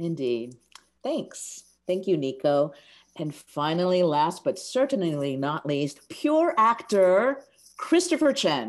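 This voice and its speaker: At a very slow pace, a woman with a fairly low pitch and an American accent speaks with very wide pitch swings. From US West Coast, Seattle. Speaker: playwright and panel moderator. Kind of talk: panel discussion moderation.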